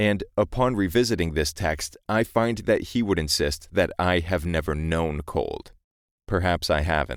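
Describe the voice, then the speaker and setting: An American accent, a calm tone and ordinary pitch variation on a very clean recording with a silent background. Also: man. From New England, US. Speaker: audiobook narrator. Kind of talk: spoken preface to a reading. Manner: calm, measured storytelling.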